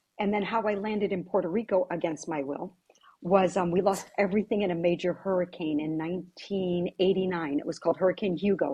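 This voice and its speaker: In an American accent, a woman talks at a fairly quick pace with fairly even intonation and a somewhat breathy voice. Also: medium pitch for a woman. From US Virgin Islands (St. Croix), family from Syracuse, New York. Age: 60s. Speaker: real estate agent. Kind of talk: podcast interview.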